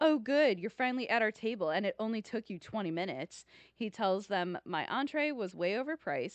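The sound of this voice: An unforced reading voice. Its intonation is lively.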